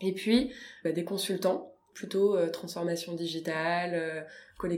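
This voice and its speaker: A woman uses an ordinary speaking voice, medium in pitch, and her intonation stays fairly even. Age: 30s. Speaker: deputy director of a digital inclusion nonprofit. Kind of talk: interview. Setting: nonprofit's offices.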